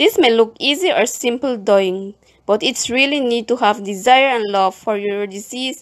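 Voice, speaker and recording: Her voice is an unremarkable speaking voice, fairly high for a woman, with lively intonation at a moderate pace. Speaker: community librarian. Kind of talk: documentary narration.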